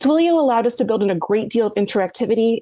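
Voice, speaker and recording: This voice has a dark, mellow tone and an American accent, moving at a fairly quick pace. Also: woman. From US East Coast. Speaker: experimental theatre-maker. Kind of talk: prepared talk. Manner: fast.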